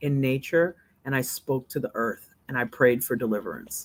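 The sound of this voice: A woman speaks at a moderate pace with an extremely low pitch.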